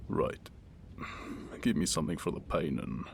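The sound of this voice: A man does a raspy, put-on character voice against noticeable background noise.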